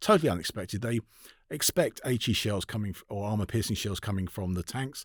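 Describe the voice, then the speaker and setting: A man with a London accent at a fairly quick pace, ordinary pitch variation, a dry, close sound with no echo, and a very clean recording over a silent background. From London, England. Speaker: author and tank historian. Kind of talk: interview conversation. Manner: fast; halting, many fillers.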